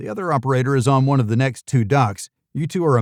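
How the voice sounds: Behind the speaker, the background is quiet. A natural reading voice comes through with ordinary pitch variation.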